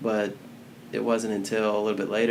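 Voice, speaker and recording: A man's voice at a medium pitch. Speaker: criminal defense attorney. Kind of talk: casual chat. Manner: laid back.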